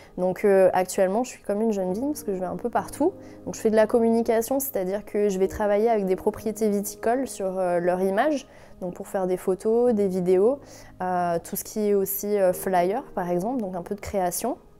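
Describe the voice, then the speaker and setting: A woman talks at a fairly quick pace. Her medium pitch has ordinary pitch variation. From France. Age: 20s. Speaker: wine and sake consultant, entrepreneur. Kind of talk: interview testimony. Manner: hesitant, many fillers.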